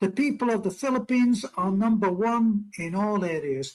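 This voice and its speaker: The sound is dry and close with no echo. A man with a high pitch speaks at a fairly slow pace. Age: 80s+. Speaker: expat interviewee. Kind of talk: casual chat.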